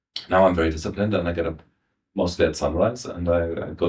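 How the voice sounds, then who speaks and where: A man with a German accent, very deep and low in pitch, somewhat breathy, at a moderate pace. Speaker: voice actor. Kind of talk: interview answer.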